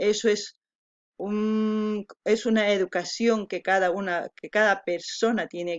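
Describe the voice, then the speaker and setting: The speaker has an Andean accent and talks very slowly. The intonation stays fairly even. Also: woman. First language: Quechua (speaking Spanish). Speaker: video reactor. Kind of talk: reaction commentary. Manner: halting.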